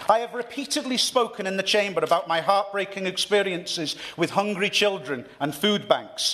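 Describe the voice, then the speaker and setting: With noticeable background noise, a man talks in a North East Welsh accent at a moderate pace. His voice is high with lively intonation. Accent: North East Wales. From North East Wales. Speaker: member of parliament. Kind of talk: parliamentary speech. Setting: parliament debate chamber. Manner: formal.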